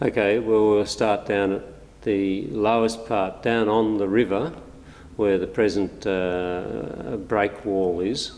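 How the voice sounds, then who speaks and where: A man with an Australian accent, fairly low in pitch, at a very slow pace. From Australia, New South Wales north coast. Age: 70s. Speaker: local resident recalling childhood. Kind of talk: oral history interview. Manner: hesitant with frequent fillers.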